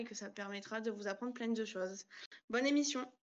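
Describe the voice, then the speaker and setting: A woman talks with a fairly high pitch and fairly even intonation. It is an ordinary speaking voice. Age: 20s. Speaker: trainee social educator. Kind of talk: casual online panel discussion.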